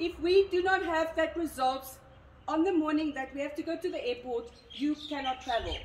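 Against light background noise and audible room echo, a woman talks in a high pitch. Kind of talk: briefing to a group. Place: street. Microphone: camera far.

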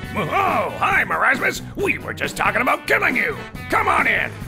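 The voice is a put-on character, delivered at a moderate pace. Loud music plays in the background. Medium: dub. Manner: loud, blunt.

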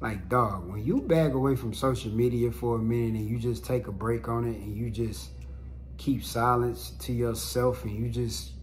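A man's speech comes at a moderate pace, with light background noise behind it. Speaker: vlogger, podcaster. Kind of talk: casual vlog chat. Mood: reflective, relaxed. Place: home room.

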